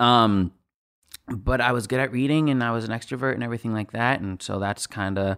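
With an ordinary speaking voice, this man talks at a moderate pace in a fairly low pitch, with ordinary pitch variation. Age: 20s. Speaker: voice actor. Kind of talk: casual chat.

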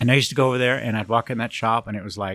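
A man with an American accent talks at a very fast pace, the sound dry and close with no echo. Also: very clean recording, silent background. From Southern California (Long Beach, Cypress). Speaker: Volkswagen engine builder. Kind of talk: casual interview.

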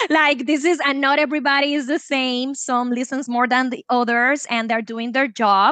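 With a Puerto Rican accent, a woman speaks at a moderate pace in a high, bright, sharp voice, fairly even in intonation and with hardly any pauses. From Puerto Rico. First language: Spanish. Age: 30s. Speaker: chemist and wellness coach. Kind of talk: personal testimony interview.

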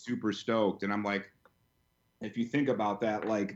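A normal speaking voice from a man, fairly low, at a fairly quick pace against a quiet background. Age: 30s. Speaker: pop culture fan page and merch store owner. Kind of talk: casual chat.

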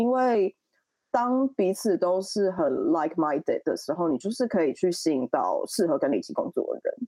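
A woman at a moderate pace, dry and close with no echo. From Taiwan. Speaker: fashion stylist. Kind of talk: interview. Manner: hesitant, filler-heavy.

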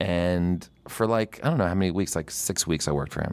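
A man speaks with an American accent at a fairly quick pace. His voice is very deep and low. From New Jersey (Princeton). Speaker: comedian and TV writer. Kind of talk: casual interview chat.

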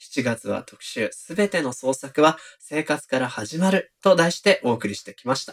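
A man talks with hardly any pauses in a fairly high pitch. His intonation is lively, with big swings in loudness. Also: moderate pace. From Nagoya, Japan. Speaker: podcast host, editor. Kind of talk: casual chat. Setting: remote recording.

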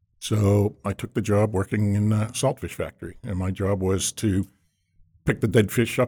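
A man with an American accent, fairly low in pitch, with a dark, mellow tone and a somewhat breathy voice, in a dry, close sound with no echo and a very clean recording against a silent background. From Massachusetts, North Shore of Boston. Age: 60s. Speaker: seafood industry executive. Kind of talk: casual interview.

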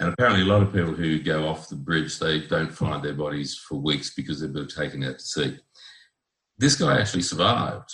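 In an Australian accent, a man talks at a fairly quick pace with a very deep, low pitch. Vocal fry marks his voice. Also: ordinary pitch variation. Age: 60s. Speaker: guest living with bipolar disorder. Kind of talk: interview.

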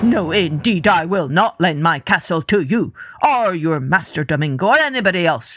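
In a put-on character voice, a man shouts at a high pitch and a moderate pace on a very clean recording with a silent background. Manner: angry, shouting.

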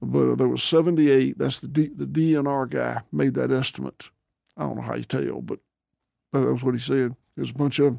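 With a Southern US accent, a man speaks at a fairly quick pace. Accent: Southern US (Georgia). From US South, Georgia. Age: 60s. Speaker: farmer. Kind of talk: interview.

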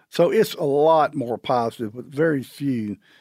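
A man with a Southern US accent, fairly high in pitch with ordinary pitch variation and a dark, mellow tone, at a fairly slow pace, in a dry, close sound with no echo on a very clean recording with a silent background. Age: 60s. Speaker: champion turkey caller. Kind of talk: casual chat.

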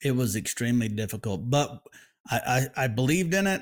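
A man with an American accent, medium pitch, and a moderate pace. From Oklahoma, US. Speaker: barbecue business owner and competition cook. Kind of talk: interview.

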